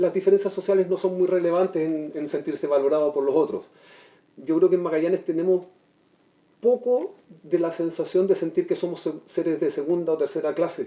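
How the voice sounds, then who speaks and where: A man speaks fairly quickly in a high voice with a dark, mellow tone and fairly even intonation. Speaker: TV show guest. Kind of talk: TV panel discussion. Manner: fast.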